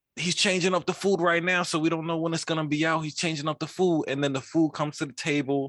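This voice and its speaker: A man talks very fast in an animated tone, his voice fairly high in pitch and hardly pausing at all. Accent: New York. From New York (Queens). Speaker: podcast co-host. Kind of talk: casual chat.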